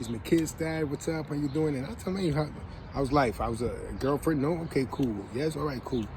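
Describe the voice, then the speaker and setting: Amid audible room echo and noticeable background noise, a man with an American accent speaks at a very fast pace with lively intonation. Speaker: parent giving advice. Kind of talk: casual vlog monologue. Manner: hesitant, with fillers.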